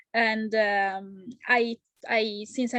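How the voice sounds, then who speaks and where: A woman with an Italian accent, fairly high in pitch, with fairly even intonation. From Italy, Genoa. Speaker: home baker. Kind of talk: interview. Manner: halting.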